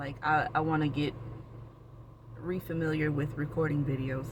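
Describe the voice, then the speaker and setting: An American accent at a moderate pace over noticeable background noise. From Florida (Orlando). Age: 30s. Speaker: vlogger. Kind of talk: casual personal vlog. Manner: rambling, with many fillers and restarts.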